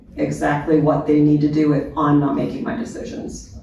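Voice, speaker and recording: A woman at a moderate pace amid noticeable background noise and audible room echo. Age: 60s. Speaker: end-of-life care panelist. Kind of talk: panel discussion.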